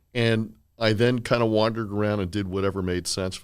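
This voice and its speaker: Speaking at a moderate pace with fairly even intonation, a man with an American accent comes through on a very clean recording with a silent background. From Miami, Florida. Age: 60s. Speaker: healthcare attorney. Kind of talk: casual interview chat.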